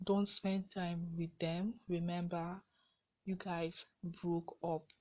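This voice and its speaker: A woman speaks very slowly in a fairly low, somewhat breathy voice with a dark, mellow tone and monotone, flat intonation. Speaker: podcast host. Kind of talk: casual advice monologue.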